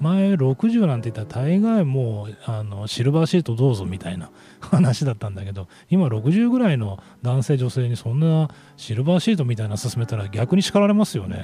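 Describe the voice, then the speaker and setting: A man with a medium pitch and a dark, mellow tone sounds somewhat breathy. His pitch swings very widely at a moderate pace. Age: 40s. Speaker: radio host. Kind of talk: casual radio talk. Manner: casual, meandering with fillers.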